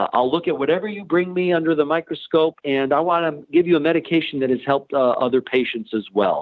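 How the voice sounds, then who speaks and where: With a fairly high pitch, this man rattles along at a very fast pace. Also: ordinary pitch variation. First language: Ukrainian. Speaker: nurse practitioner. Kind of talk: interview. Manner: frequent filler words and hesitations.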